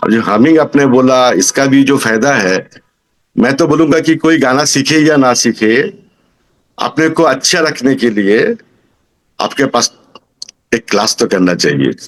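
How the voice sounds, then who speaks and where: A man's medium-pitched voice with ordinary pitch variation, very even loudness, and long, frequent pauses. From Kolkata, India. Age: 60s. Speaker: singing student. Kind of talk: testimonial interview answer.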